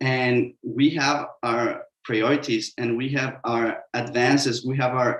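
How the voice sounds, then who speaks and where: Speaking at a very slow pace in a Mexican accent, the voice holds a monotone, flat intonation. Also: man. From Mexico. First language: Spanish. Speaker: sustainable construction consultant. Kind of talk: webinar panel talk. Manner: halting, many fillers.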